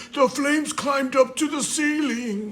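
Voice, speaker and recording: Over clear background noise, a man does a put-on character voice at an extremely high pitch and a moderate pace. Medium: read story.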